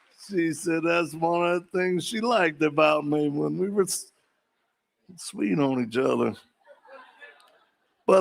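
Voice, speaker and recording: A man speaks at a fairly slow pace and a fairly high pitch. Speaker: political candidate. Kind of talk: campaign speech.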